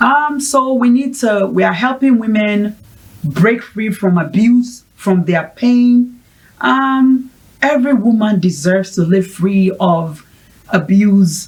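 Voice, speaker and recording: A woman speaks at a very slow pace in a somewhat breathy, fairly high voice. Her intonation is lively while her loudness stays very even. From Ghana. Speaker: mental health advocate, founder of women's support project. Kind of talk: interview.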